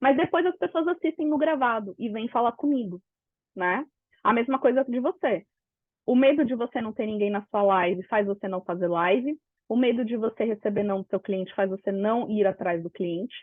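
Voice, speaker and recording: This woman speaks at a moderate pace in a fairly high pitch with lively intonation. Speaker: business mentor. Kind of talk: live webinar talk. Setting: online live session. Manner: animated.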